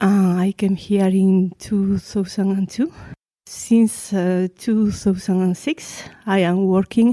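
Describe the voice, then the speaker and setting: A woman speaks very slowly in a Spanish accent, her medium-pitched voice dark and mellow with fairly even intonation. The recording is very clean, with a silent background. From Spain. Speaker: research engineer. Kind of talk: interview. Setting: face-to-face interview in Paris. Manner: halting, with fillers.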